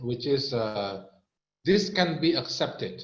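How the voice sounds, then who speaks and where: A man speaks in an Indonesian accent with very wide pitch swings. Room echo is audible. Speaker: health product presenter. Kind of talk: product training talk. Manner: halting.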